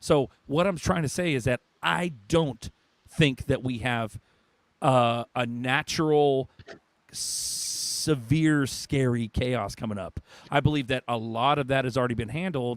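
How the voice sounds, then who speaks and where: An animated tone with ordinary pitch variation, dry and close with no echo. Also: man. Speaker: livestream host. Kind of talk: heated debate. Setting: live stream. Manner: loud.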